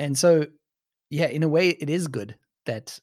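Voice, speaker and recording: A man with a South African accent speaks with a dry, close sound with no echo. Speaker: podcaster. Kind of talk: casual chat.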